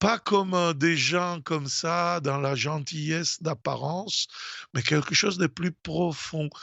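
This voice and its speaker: A man's fairly high voice at a very slow pace, with fairly even intonation. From Italy. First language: Italian (speaking French). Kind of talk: radio talk. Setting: radio studio. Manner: halting, many hesitations.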